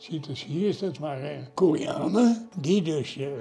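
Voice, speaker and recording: A man speaks with music in the background. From Netherlands. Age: 90s. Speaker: war veteran. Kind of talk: interview. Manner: halting.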